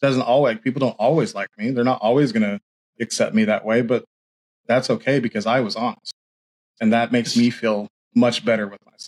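A man with an American accent and an unremarkable speaking voice talks at a fairly quick pace in a medium pitch, with fairly even intonation and a dry, close sound with no echo. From US. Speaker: podcast host and identity coach. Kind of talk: casual interview.

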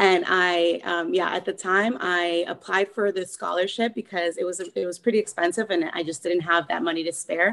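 Fairly low pitch from a woman at a moderate pace, with fairly even intonation and hardly any pauses. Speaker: author and editor. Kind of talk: casual interview chat. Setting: members coaching session. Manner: hesitant, filler-heavy.

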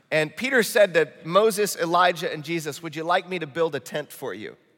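With a slight Midwestern US accent, a man speaks at a moderate pace in a high pitch, with a bright, sharp tone and ordinary pitch variation. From Michigan, US Midwest. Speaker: pastor. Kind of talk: sermon. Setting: church. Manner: earnest, urgent.

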